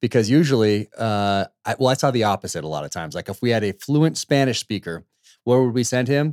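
Speaking at a fairly quick pace with lively intonation, a man with an American accent has a plain, everyday voice at medium pitch. The sound is dry and close with no echo, on a very clean recording with a silent background.

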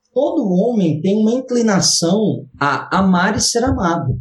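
A man speaks at a fairly slow pace. His voice sits at a high pitch. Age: 30s. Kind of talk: casual interview chat.

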